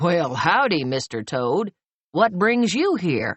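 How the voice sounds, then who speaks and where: Putting on a growling character voice, a man talks fairly slowly in a high pitch with very wide pitch swings. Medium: read story. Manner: folksy drawl.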